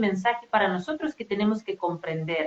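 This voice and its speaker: A woman speaks with a non-native accent. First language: not Spanish (speaking Spanish). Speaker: spiritual coach. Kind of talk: casual conversation. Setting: live stream.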